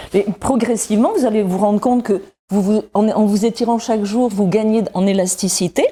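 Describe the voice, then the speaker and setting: A woman's somewhat breathy voice, with very even loudness and fairly even intonation. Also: fairly high pitch for a woman, moderate pace. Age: 60s. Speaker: wellness columnist. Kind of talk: exercise demonstration tutorial.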